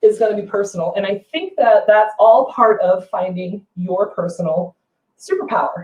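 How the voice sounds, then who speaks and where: This woman's voice sits at a fairly high pitch, somewhat breathy, with ordinary pitch variation. She talks at a moderate pace. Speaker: furniture painter and brand ambassador. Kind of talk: live painting tutorial. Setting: livestream on social media. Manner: chatty, animated.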